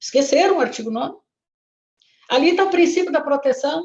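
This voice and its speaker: A woman speaks with very wide pitch swings. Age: 70s. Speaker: retired labour judge and lawyer. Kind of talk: lecture. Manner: halting.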